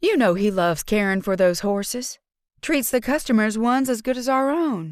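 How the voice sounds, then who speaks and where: A woman's put-on character voice, fairly high in pitch, with lively intonation, a moderate pace and very even loudness. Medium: read story. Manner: warm but terse.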